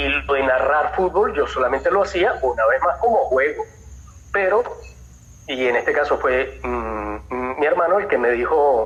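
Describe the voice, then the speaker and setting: A man speaks with very even loudness. He leaves long, frequent pauses. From Venezuela. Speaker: voice actor; football commentator. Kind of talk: interview answer.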